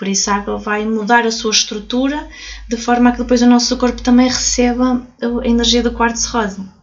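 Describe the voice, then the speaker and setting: A high-pitched woman talks at a fairly quick pace in a flat, monotone way. Noticeable background noise runs underneath. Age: 30s. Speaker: crystal therapist and author. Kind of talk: casual interview. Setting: recorded in a crystal shop.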